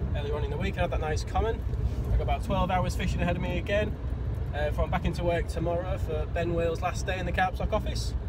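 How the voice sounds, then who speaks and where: A man speaks very fast in a dry sound with no echo, with loud background noise behind him. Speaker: angler vlogger. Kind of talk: casual vlog chat. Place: car. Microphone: phone near.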